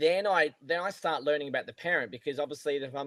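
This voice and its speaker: A man talks fairly quickly, the sound dry and close with no echo. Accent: Australian. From Australia. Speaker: golf coach. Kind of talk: casual chat.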